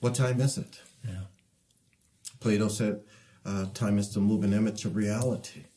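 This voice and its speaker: A man with an American accent speaks in a somewhat breathy, dark, mellow tone. His intonation is fairly even and his pace moderate, with long, frequent pauses. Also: fairly low pitch for a man. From Detroit, US Midwest. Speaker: artist; interviewee. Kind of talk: interview. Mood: calm, reflective, philosophical.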